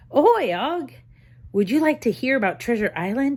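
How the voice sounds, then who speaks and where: This is a put-on character voice with a shrill sound. The pace is moderate. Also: female-sounding voice, high pitch for a woman. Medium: read story.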